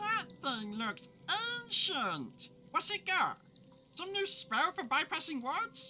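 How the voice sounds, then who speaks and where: The put-on character voice is high-pitched and moves at a fairly slow pace, broken by long, frequent pauses. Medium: audio drama. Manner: chatty, flippant.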